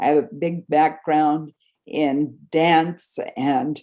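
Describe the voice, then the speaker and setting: A woman's very deep, low pitch with a dark, mellow tone, ordinary pitch variation, and a very slow pace. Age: 70s. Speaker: dentist and orofacial myology specialist. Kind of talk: conference presentation.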